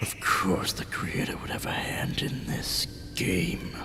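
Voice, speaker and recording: A man whispers in a put-on character voice at a fairly slow pace. Loud background noise is present. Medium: game stream. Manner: cold, haughty, menacing.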